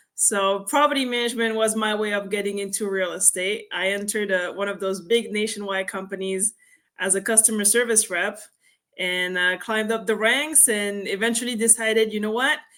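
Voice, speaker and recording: A woman with a French accent, medium pitch and a bright, sharp tone, at a fairly quick pace with fairly even intonation, on a very clean recording with a silent background. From France. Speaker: real estate investor. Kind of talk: interview.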